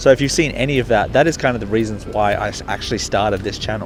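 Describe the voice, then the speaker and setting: A man speaks with an Australian accent and ordinary pitch variation over noticeable background noise. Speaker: sneaker reviewer and youtuber. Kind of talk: casual talk to camera.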